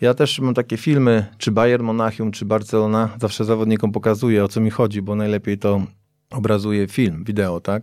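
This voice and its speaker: At a fairly quick pace, a normal speaking voice carries on. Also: man, fairly low pitch for a man, fairly even intonation. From Poland, Piaseczno near Warsaw. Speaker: football coach. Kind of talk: interview.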